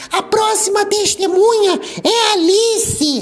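Loud and shrill, a put-on character voice at an extremely high pitch speaks at a fairly slow pace over light background noise. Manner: loud, shrill.

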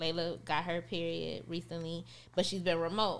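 A woman with an American accent, fairly low-pitched, with vocal fry and a bright, sharp tone at a moderate pace. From rural West Texas (Midland). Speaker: entrepreneur and author. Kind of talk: casual chat. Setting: studio.

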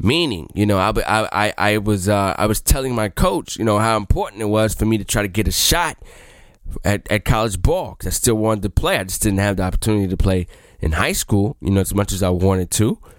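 A man speaks in a normal speaking voice at a fairly quick pace. His pitch is fairly low, with ordinary pitch variation. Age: 20s. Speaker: podcast host. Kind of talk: casual monologue.

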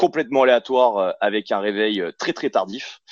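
The voice belongs to a man. Dry, close sound with no echo. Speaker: fitness coach and gym owner. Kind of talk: podcast interview. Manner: animated.

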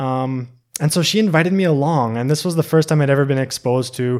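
A normal speaking voice with ordinary pitch variation, on a very clean recording with a silent background. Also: man. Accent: Canadian. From Canada, British Columbia (Okanagan). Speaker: long-term tea student. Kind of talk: casual interview conversation.

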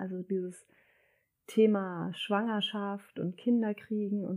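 Recorded very cleanly against a silent background, a woman speaks fairly slowly at medium pitch with a dark, mellow tone. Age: 30s. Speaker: mother sharing birth stories. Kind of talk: casual interview chat.

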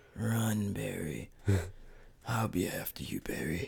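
Whispering, a man puts on a character voice. He goes at a fairly slow pace. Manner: mock whisper, threatening.

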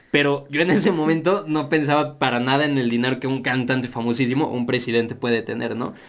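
Speaking very fast with hardly any pauses, a man uses a medium pitch and ordinary pitch variation amid audible room echo. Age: 20s. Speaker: podcast co-host, student and café supervisor. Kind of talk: casual chat. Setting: studio.

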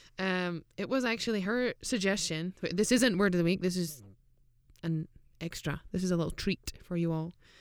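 A woman speaks at a moderate pace in a Scottish accent. Her pitch is medium, with ordinary pitch variation. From Scotland. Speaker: professional footballer and podcast co-host. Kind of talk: casual chat. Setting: studio.

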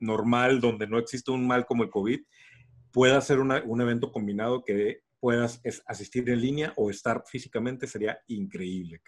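A man with a Mexican accent speaks at a moderate pace and medium pitch, with ordinary pitch variation against a quiet background. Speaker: podcast co-host. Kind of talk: casual chat.

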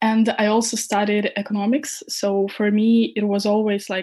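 Dark and mellow in tone and somewhat breathy, the voice comes through on a very clean recording with a silent background. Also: woman. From Ukraine. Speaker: head of social media at a crypto hardware company. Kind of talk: interview.

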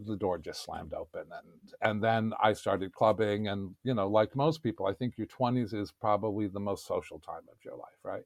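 In a very clean recording with a silent background and a dry, close sound with no echo, a man with a New York accent talks at a moderate pace with ordinary pitch variation. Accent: New York American. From New York City. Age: 60s. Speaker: podcast guest. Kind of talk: casual chat.

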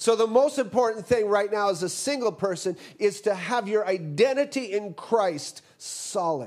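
A high-pitched male voice at a very slow pace, with hardly any pauses. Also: ordinary pitch variation. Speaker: guest preacher and college teacher. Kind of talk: sermon.

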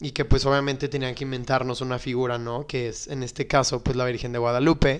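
A man with a Mexican accent speaks at a fairly quick pace, hardly pausing, at medium pitch with monotone, flat intonation. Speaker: podcast co-host. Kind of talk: casual chat.

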